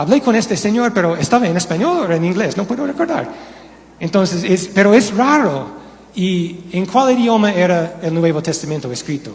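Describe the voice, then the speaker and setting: With audible room echo and noticeable background noise, a high-pitched man with an American accent talks at a moderate pace with lively intonation. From United States. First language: English (speaking Spanish). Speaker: pastor. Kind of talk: sermon. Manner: halting.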